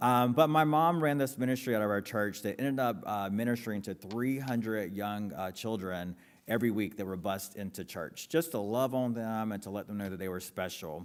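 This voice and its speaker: In a very clean recording with a silent background, a man with an American accent speaks at a fairly low pitch with ordinary variation. His pace is fairly quick, with hardly any pauses. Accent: North Carolina Lumbee English. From US South, Robeson County, North Carolina. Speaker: author and philanthropy executive. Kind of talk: public talk to audience. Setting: stage with audience.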